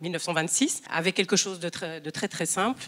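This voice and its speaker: At a fairly quick pace, a woman speaks in a bright, sharp tone at medium pitch with fairly even intonation. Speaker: restaurant owner. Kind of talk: panel discussion. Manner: halting.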